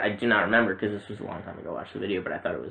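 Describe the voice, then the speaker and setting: Over noticeable background noise, a man speaks at a fairly low pitch with fairly even intonation. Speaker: movie podcaster. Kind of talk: casual chat. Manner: halting, stumbling over words.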